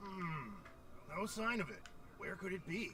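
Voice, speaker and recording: Over loud background noise, a man puts on a character voice pitched high. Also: moderate pace. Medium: game stream. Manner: brash, emphatic.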